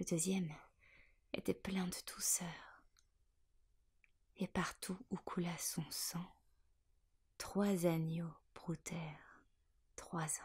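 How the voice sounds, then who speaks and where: A somewhat breathy whisper moves at a very slow pace, with long, frequent pauses. The loudness swings widely. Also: woman. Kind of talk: poetry reading. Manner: whispered.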